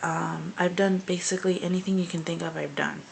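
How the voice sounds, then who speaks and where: Whispered female speech amid noticeable background noise. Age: 20s. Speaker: vlogger. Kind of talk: personal video diary. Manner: whispering; hesitant, many fillers.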